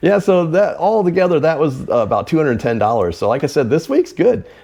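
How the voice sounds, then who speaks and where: With lively intonation and a fairly quick pace, a man with a fairly high pitch speaks in an ordinary speaking voice. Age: 50s. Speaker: reseller and video host. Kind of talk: casual chat.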